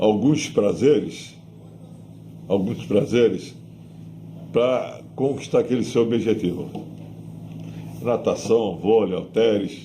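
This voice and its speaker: A man with vocal fry and a dark, mellow tone speaks very slowly with long, frequent pauses and ordinary pitch variation, with audible room echo. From Brazil, Santos. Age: 80s+. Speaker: retired weightlifting coach and physiotherapist. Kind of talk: oral history interview.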